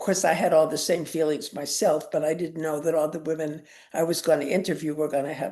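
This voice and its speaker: A woman speaks at a fairly quick pace with a very deep, low pitch and a dark, mellow tone. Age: 80s+. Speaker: author. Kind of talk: author talk.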